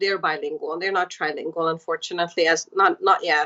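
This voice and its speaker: A woman speaks in a monotone, flat intonation at a moderate pace. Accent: Hungarian. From Hungary. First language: Hungarian. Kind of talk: podcast interview.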